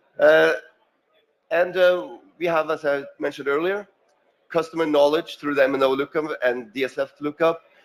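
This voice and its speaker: This speaker is a man. He talks with a Norwegian accent. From Norway. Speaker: payment company representative. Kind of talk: conference presentation. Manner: halting, many fillers.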